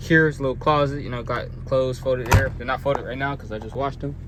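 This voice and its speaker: A man talks at a fairly quick pace in a relaxed, medium-pitched voice. His intonation is flat and monotone, and there is noticeable background noise. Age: 20s. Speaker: truck driver. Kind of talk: vlog tour. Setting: inside semi truck cab. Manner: casual, relaxed.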